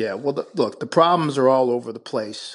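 Against a quiet background, a man with an American accent uses a normal speaking voice at medium pitch with ordinary pitch variation. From Buffalo, New York. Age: 50s. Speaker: attorney and former political candidate. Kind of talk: radio interview.

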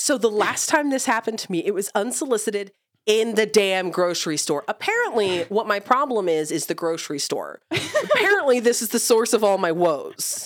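A woman speaks at a moderate pace in a plain, everyday voice, with hardly any pauses. Her pitch is fairly high and her intonation lively. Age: 30s. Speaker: podcast co-host, mother. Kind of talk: casual chat; listener call-to-action.

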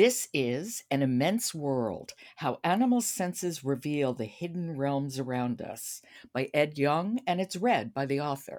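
The recording is very clean with a silent background. The speech moves at a fairly slow pace. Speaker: podcast host. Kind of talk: casual chat. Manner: animated.

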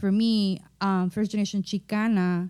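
In an American accent, a woman speaks at a fairly slow pace with a dark, mellow tone, medium pitch and monotone, flat intonation. The recording is very clean, with a silent background. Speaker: podcast co-host and doctoral scholar. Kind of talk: casual roundtable chat. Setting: in-person group recording in an office.

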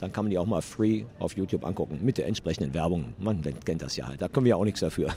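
In a very deep, low voice, a man speaks at a very fast pace. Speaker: game studio co-founder. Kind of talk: trade fair interview. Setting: noisy exhibition hall.

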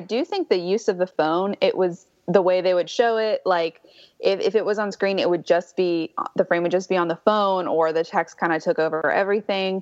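A normal speaking voice moves at a fairly quick pace in a dry, close sound with no echo. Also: woman. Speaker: guest, former producer and pop culture critic. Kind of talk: casual chat.

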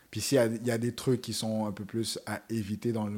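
Monotone, flat intonation comes at a moderate pace on a very clean recording with a silent background. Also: man. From Montreal, Quebec (east end, around Montréal-Nord). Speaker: web series host and rapper. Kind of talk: casual chat.

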